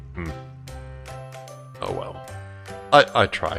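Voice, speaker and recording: Music plays in the background as a man talks. His pace is fairly slow and his intonation lively. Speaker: Minecraft tutorial creator. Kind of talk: game tutorial narration.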